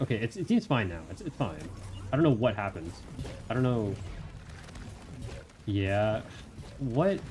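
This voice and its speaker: Over noticeable background noise, a man talks at a moderate pace and medium pitch with lively intonation and long, frequent pauses. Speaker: streamer. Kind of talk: casual chat. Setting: live stream. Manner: halting.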